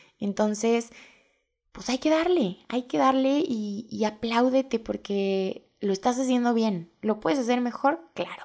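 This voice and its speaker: A woman with a normal speaking voice talks at a fairly slow pace and a fairly high pitch. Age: 20s. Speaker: podcast host and blogger. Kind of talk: casual monologue.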